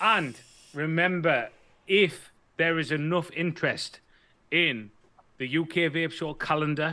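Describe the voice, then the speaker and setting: Speaking slowly with long, frequent pauses, a man with a British accent has a fairly high pitch, a bright, sharp tone and ordinary pitch variation. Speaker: vaping show co-host. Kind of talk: casual chat.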